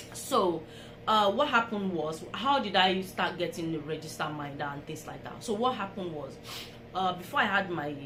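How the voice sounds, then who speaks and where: Amid noticeable background noise and audible room echo, a woman speaks with lively intonation. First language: not English. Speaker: vlogger. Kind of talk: storytelling vlog. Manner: casual, conversational.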